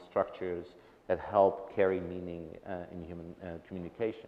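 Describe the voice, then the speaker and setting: At a moderate pace, a man with a non-native accent speaks in a very deep, low pitch. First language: not English. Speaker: tech research director. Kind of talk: panel discussion. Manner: halting, many restarts.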